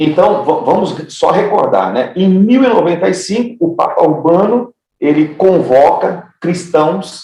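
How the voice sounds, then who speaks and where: The speaker is a man with a high pitch. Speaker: pastor teaching theology class. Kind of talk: lecture. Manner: repeats words, halting in places.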